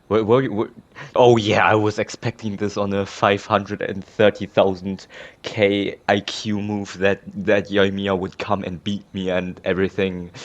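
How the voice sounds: A man with a fairly low pitch talks at a fairly slow pace, his pitch moving little.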